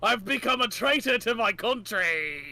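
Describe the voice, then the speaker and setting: Doing a put-on character voice with a British accent, a man speaks in a raised, projected voice at a high pitch and a moderate pace. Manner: villainous.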